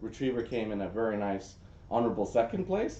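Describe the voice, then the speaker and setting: With an American accent, this man talks fairly quickly in a dark, mellow tone, and room echo is audible. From US, New Jersey. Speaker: social media analytics expert. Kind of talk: presentation. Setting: room with audience. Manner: casual, with many fillers.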